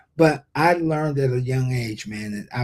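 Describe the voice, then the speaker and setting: A man with an American accent, medium-pitched and somewhat breathy, with a dark, mellow tone, moderate pace and ordinary pitch variation. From Ohio, US Midwest. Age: 60s. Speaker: leadership speaker and workforce development expert. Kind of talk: interview. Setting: live stream interview. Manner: halting, many repetitions.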